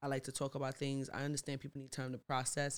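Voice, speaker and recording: A woman speaks in a very deep, low voice. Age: 30s. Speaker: podcast co-host and YouTuber. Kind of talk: casual chat.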